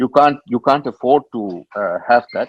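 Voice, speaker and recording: Recorded with a dry, close sound with no echo and a quiet background, a man speaks at a medium pitch with ordinary pitch variation. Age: 60s. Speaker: business leader, industry panelist. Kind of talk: web meeting talk. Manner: halting with fillers.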